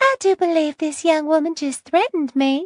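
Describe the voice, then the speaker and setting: A put-on character voice, female-sounding and squeaky, with extremely high pitch at a moderate pace. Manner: sweet.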